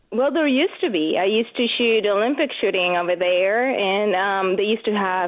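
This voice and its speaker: A woman talks at a fairly quick pace with very even loudness. Her pitch sits in the medium range and varies in an ordinary way. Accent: slight Venezuelan. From Venezuela. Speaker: competitive shooter and gun-rights commentator. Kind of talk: radio interview.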